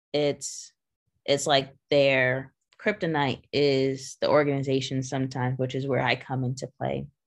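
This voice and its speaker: A woman's very deep, low voice, monotone and flat, at a fairly slow pace against a quiet background. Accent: American. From Long Island, New York. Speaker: business owner and manager. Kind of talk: interview.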